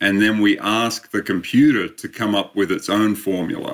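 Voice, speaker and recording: Here a man with an Australian accent talks at a fairly slow pace. His voice is fairly low in pitch, with a bright, sharp tone. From Australia, Sydney. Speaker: endurance coach and sports scientist. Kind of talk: interview.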